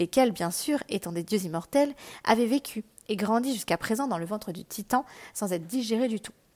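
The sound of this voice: An unforced reading voice with lively intonation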